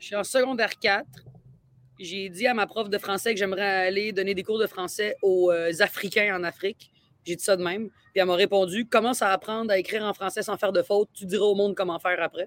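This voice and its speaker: A woman's medium-pitched voice at a fairly quick pace, monotone and flat in intonation, with big swings in loudness and a dry, close sound with no echo. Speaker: comedian. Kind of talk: casual chat. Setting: outdoors.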